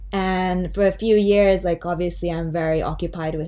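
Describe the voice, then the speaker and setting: Audible room echo fills the space as a woman speaks in a fairly low pitch with monotone, flat intonation. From Japan. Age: 30s. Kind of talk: casual chat.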